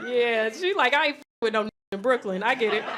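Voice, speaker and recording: A raised, projected female voice at a moderate speed. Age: 30s. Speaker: comedian. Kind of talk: stand-up. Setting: stage with audience. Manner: loud; animated.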